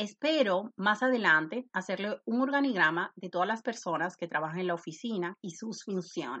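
Lively intonation at a moderate pace. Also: woman. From Dominican Republic, Santo Domingo. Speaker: immigration lawyer. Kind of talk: podcast monologue.

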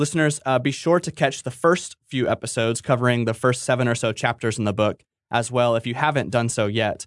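At a fairly quick pace, a man talks in a plain, everyday voice of medium pitch with ordinary pitch variation, a dry, close sound with no echo, and a quiet background. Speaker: guest host of theology podcast. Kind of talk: interview discussion.

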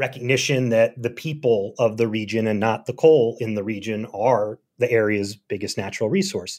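An American-accented man speaks at a moderate pace with hardly any pauses, medium in pitch with ordinary pitch variation. The recording is very clean, with a silent background. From Philadelphia. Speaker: journalist and author. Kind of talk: interview. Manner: halting.

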